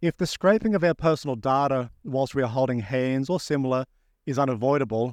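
In a very clean recording with a silent background and a dry, close sound with no echo, a man speaks at a fairly quick pace. He has a normal speaking voice, medium pitch and ordinary pitch variation. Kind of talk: poem performed live, reading aloud a written piece.

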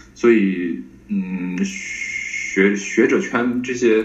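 A man is speaking. The recording carries noticeable background noise and audible room echo. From Tianjin, northern China. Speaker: PhD student in Semitic linguistics. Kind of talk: academic interview. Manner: halting, many fillers.

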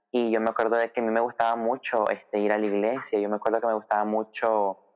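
A man's medium-pitched delivery stays monotone, with flat intonation. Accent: Nicaraguan. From Nicaragua, Managua. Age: 20s. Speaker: church volunteer sharing personal story. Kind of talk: interview testimony.

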